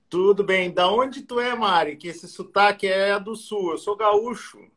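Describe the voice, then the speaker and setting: Speaking at a fairly slow pace, a man with a high pitch keeps his intonation fairly even while his loudness swings a lot. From southern Brazil, Porto Alegre (Rio Grande do Sul). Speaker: plastic surgeon. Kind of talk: live-stream interview.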